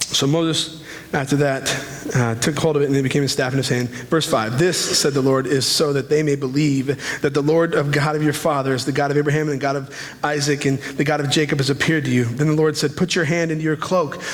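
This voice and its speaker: A man talks at a very fast pace with a fairly high pitch and very even loudness. Audible room echo and noticeable background noise surround him. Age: 30s. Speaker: pastor. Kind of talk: sermon. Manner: animated.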